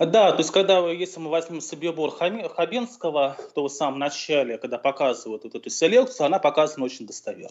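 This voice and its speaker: With a normal speaking voice, the speaker runs on with hardly any pauses, showing lively intonation and big swings in loudness. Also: man, fairly high pitch for a man. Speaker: historian. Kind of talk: interview. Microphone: connection dropped briefly.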